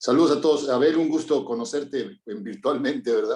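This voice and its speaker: Lively intonation from a man with a dark, mellow tone at a fairly quick pace. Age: 60s. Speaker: course participant. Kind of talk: group discussion.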